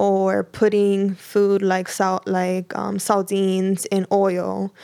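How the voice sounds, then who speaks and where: In a very clean recording with a silent background, a woman at medium pitch speaks at a very slow pace with monotone, flat intonation. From New York City, northern Manhattan (Dominican family). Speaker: food cooperative founder. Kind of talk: interview.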